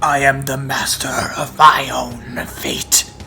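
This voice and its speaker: Over clear background noise, a man puts on a raspy character voice at a medium pitch, speaking fairly slowly. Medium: actual play. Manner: defiant.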